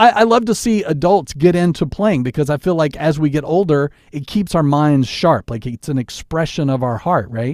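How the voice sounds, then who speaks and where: This man has a normal speaking voice, fairly high in pitch, with lively intonation and a moderate pace. He barely pauses, and the recording is very clean with a silent background. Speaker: radio DJ and podcast host. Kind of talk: casual chat. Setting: home studio.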